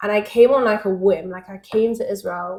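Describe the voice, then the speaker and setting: In a Manchester accent, a woman speaks at a medium pitch. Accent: Mancunian; once mistaken for American. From northern England, Manchester. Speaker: networking company founder. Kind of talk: podcast interview. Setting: at her home.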